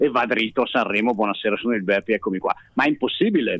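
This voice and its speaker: Lively intonation marks this man's very fast delivery. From Bergamo, northern Italy. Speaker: singer and comedian. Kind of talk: casual chat. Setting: phone call.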